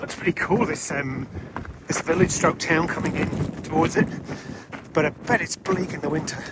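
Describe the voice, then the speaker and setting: The speaker moves at a moderate pace with ordinary pitch variation. Long pauses come often, and background noise is noticeable. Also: man, high pitch for a man. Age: 60s. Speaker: long-distance walker vlogger. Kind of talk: casual video diary. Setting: outdoors.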